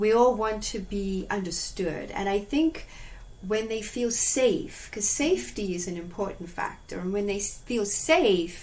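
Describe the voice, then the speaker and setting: Lively in intonation, a woman at medium pitch speaks fairly slowly with audible room echo. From Zimbabwe. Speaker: animal communicator and hypnotherapist. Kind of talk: interview.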